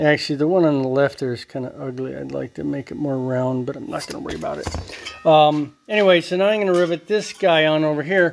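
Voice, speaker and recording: Against noticeable background noise, a man talks at a fairly quick pace in a fairly high voice with ordinary pitch variation. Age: 60s. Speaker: DIY metalworking hobbyist. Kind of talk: workshop tutorial. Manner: casual, rambling with fillers and sound effects.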